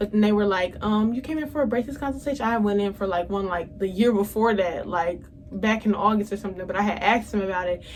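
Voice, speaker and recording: Speaking very fast with hardly any pauses, a woman uses a medium pitch and ordinary pitch variation. Noticeable background noise is present. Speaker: beauty and lifestyle vlogger. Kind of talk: casual vlog monologue.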